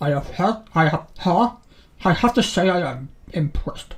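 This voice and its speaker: At a middle pitch, the speaker uses a put-on character voice. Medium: solo performance. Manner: formal, halting.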